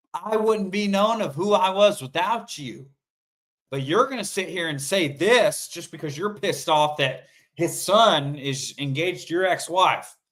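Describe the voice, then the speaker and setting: Loud and animated, a man speaks at a high pitch and a fairly slow pace with lively intonation in a very clean recording against a silent background. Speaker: sports talk show host. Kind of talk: solo sports commentary livestream.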